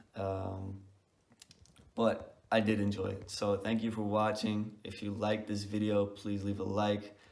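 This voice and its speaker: Amid audible room echo, a man speaks fairly slowly in a fairly low pitch with monotone, flat intonation. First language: not English. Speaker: book reviewer. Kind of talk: casual video review. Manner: hesitant, many fillers.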